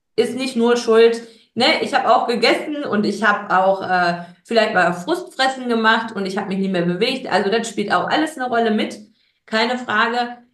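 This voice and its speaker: Audible room echo surrounds a woman's fairly high voice. She speaks at a moderate pace with ordinary pitch variation. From Ruhr area, Germany (Gelsenkirchen). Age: 30s. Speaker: guest, childcare worker. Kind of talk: interview.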